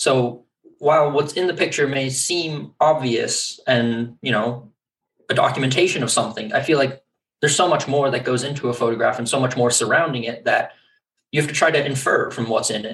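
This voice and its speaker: At a fairly quick pace, a man with a medium pitch uses fairly even intonation in an ordinary speaking voice. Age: 20s. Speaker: photographer. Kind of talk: interview.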